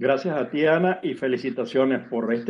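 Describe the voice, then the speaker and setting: A man speaks at a fairly quick pace in a normal speaking voice, medium in pitch with ordinary pitch variation. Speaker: sociologist. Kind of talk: interview.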